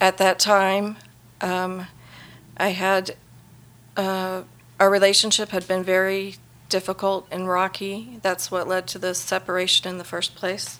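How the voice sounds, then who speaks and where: With an American accent, a woman talks at a moderate pace and a medium pitch. Her intonation is monotone and flat. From Las Vegas, Nevada. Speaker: churchgoer sharing testimony. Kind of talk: testimony.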